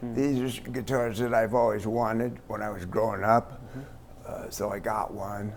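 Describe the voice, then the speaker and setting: A man with a medium-pitched voice talks at a fairly slow pace and fairly even intonation, with noticeable background noise behind him. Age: 70s. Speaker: rock guitarist. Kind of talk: interview answer.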